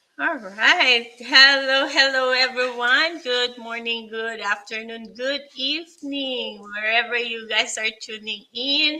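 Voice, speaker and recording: A woman with a Filipino accent speaks at a very slow pace, her pitch high and her intonation fairly even, with hardly any pauses. Noticeable background noise runs under the recording. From Pampanga, Philippines. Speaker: hairstylist and online entrepreneur. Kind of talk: personal testimony in live stream. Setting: online live stream. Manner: halting, many fillers.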